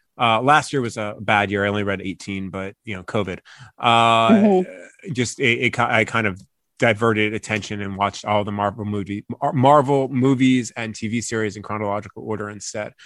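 A man with an unremarkable speaking voice and an American accent talks at a moderate pace. His pitch is fairly low with ordinary variation, and the recording is very clean with a silent background. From Long Island, New York. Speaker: sports reporter. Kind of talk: casual chat.

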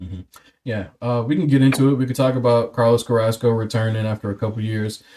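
A man with an American accent, medium pitch and a dark, mellow tone, talking at a very fast pace with fairly even intonation. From Cleveland, Ohio. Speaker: podcast host. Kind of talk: casual chat.

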